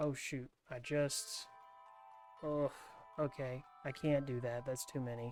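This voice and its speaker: Music plays in the background as a man talks at a fairly slow pace. His pitch sits in the medium range, and his intonation is fairly even. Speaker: ASMR gaming YouTuber. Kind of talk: soft-spoken gaming commentary. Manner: soft-spoken, relaxed.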